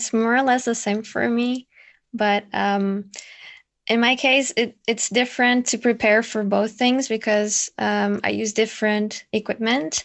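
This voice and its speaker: The speech comes at a fairly slow pace in a non-native accent. Its intonation stays monotone and flat. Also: woman, fairly high pitch for a woman. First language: not English. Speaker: ASMR content creator. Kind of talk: panel discussion.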